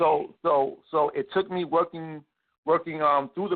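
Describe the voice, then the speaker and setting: This man talks neither fast nor slow. His pitch rises and falls in an ordinary way. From New York City (Harlem, Queens). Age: 40s. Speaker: artist and media business owner. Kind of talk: interview. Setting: radio show. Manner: repetitive, halting starts.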